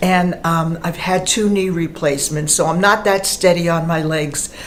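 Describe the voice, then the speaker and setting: A woman with a fairly low pitch speaks at a fairly slow pace with fairly even intonation, amid audible room echo and noticeable background noise. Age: old. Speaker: retired performer, singer. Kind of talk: personal testimony.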